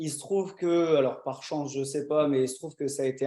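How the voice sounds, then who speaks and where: Speaking at a fairly quick pace, a man has a fairly high pitch. His tone is dark and mellow, his intonation fairly even. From northern France, Dunkirk. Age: 20s. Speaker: short-term rental owner. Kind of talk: interview.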